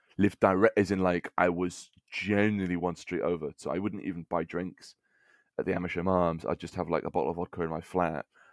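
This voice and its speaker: A man with an English accent talks at a fairly quick pace in a very deep, low voice with monotone, flat intonation. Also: dry, close sound with no echo. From England. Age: 20s. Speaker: comedian. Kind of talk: casual chat.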